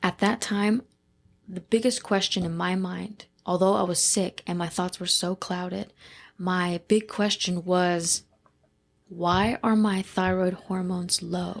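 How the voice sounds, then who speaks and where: A woman speaks in a normal speaking voice, medium-pitched with fairly even intonation, on a very clean recording with a silent background. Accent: American. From Dayton, Ohio, USA. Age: 20s. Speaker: funeral director and embalmer apprentice. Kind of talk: podcast interview answer.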